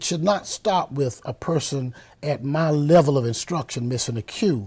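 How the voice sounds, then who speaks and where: Recorded very cleanly over a silent background, a man talks at a fairly slow pace in a fairly high pitch with ordinary pitch variation. His voice is somewhat breathy, with a dark, mellow tone. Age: 70s. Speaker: university band director. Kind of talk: interview.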